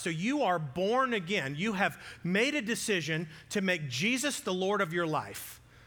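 A man's high-pitched voice with lively intonation and a bright, sharp tone. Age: 40s. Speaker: pastor. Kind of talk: sermon.

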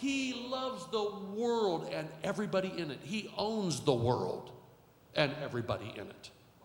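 Against noticeable background noise, a man with a high pitch talks at a moderate pace, his pitch swinging very widely and his loudness shifting in big swings. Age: 60s. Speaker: pastor. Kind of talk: sermon. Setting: church with live congregation. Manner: animated, repetitive.

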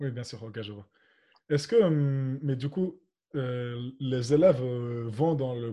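Ordinary pitch variation in a somewhat breathy male voice. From Spain. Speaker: student association podcast host. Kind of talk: interview. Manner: hesitant.

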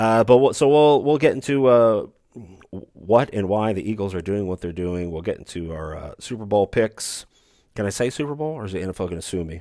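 Lively intonation marks this man's fairly quick delivery. His tone is dark and mellow, at a fairly low pitch. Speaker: sports podcast host. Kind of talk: solo sports podcast monologue. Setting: remote, away from studio. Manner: self-deprecating, jokey.

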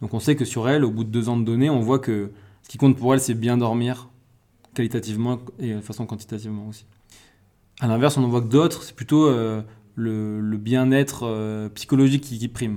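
A man with a dark, mellow tone speaks at medium pitch and a fairly quick pace, keeping fairly even intonation amid big swings in loudness and long, frequent pauses. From Corsica. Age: 20s. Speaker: sport scientist. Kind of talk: casual interview. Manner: hesitant, many fillers.

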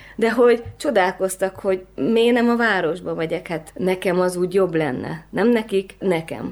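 Speaking at a fairly slow pace, a woman has a plain, everyday voice with medium pitch and lively intonation. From Transylvania, then Budapest from age 11. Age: 30s. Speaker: photographer. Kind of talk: interview conversation.

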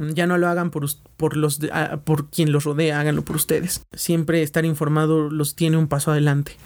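A man with a Mexican accent speaks at a fairly quick pace in a fairly high voice. His intonation is monotone and flat, and his loudness stays very even. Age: 20s. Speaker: podcast host. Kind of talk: casual solo podcast monologue. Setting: at home.

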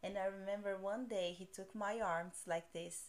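Intonation stays monotone and flat as the words unfold at a fairly slow pace. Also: woman. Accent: Portuguese. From Brazil. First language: Portuguese. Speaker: podcast host. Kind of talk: casual chat.

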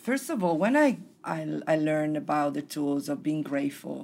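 In an Italian accent, a woman speaks at a moderate pace with a very deep, low pitch and ordinary pitch variation. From Italy. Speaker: personal development facilitator. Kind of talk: casual interview chat.

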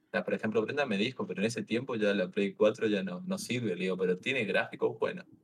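A man with an Argentine accent at a very fast pace, hardly any pauses. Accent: Argentine Spanish (voseo). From Misiones, Argentina. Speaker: streamer and railway worker. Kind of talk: casual chat. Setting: video call livestream.

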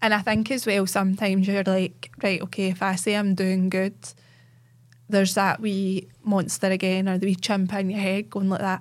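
On a very clean recording with a silent background, a woman speaks in a Central Belt Scottish accent at a moderate pace. Her intonation is monotone and flat, and her loudness stays very even. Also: medium pitch for a woman. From Scotland, Cumbernauld. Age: 30s. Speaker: cancer patient and Instagram advocate. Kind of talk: casual interview chat. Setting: studio.

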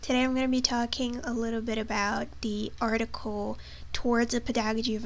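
Over noticeable background noise, a speaker with a non-native accent talks at a moderate pace. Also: woman. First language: not English. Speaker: English teacher and student. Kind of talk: class presentation monologue. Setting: recorded video for a course. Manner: informal, hesitant with fillers.

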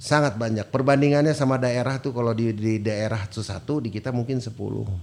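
Pitch shifts in an ordinary way. The delivery is very fast. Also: man, medium pitch for a man. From non-Sundanese Indonesia, raised in Bandung. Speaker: football coach. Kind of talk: casual chat.

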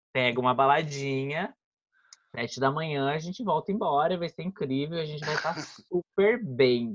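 In an ordinary speaking voice, a man talks at a moderate pace with ordinary pitch variation. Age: 20s. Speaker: podcast guest. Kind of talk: casual chat.

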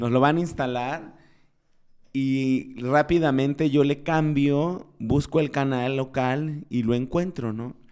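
A very slow pace with fairly even intonation. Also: man, fairly high pitch for a man. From Mexico, Guerrero (Chilpancingo). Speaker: TV presenter and entrepreneur. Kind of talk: interview.

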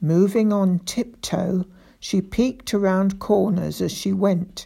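Unforced reading aloud

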